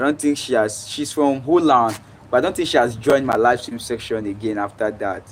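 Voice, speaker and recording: With a Nigerian accent, a man speaks at a fairly quick pace in a medium pitch with ordinary pitch variation. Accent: fluent English, Nigerian. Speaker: livestreamer. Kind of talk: casual chat. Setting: live stream.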